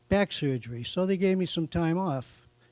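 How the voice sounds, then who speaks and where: A man's voice with a Boston accent. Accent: Boston-area New England. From eastern Massachusetts, Norfolk. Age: 70s. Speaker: hall of fame inductee, racing tire supplier. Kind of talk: acceptance speech. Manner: halting, many fillers.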